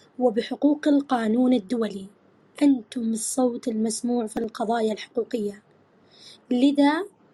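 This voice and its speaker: Fairly slow delivery in a dark, mellow tone, pitch varying in an ordinary way. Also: woman. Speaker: interviewer. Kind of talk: formal interview questions.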